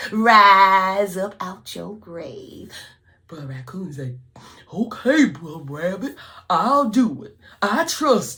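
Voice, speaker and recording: A woman's bright, sharp tone at medium pitch, with vocal fry, a very slow pace and very wide pitch swings. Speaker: storyteller. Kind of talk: folk tale storytelling. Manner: lively, call-and-response.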